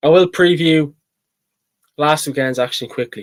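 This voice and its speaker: With a Dublin accent, a man speaks at a fairly slow pace in a dry, close sound with no echo. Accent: Dublin Irish. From Ireland, Dublin. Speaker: sports channel host, GAA pundit. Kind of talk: solo sports preview talk. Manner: hesitant, many fillers and repeats.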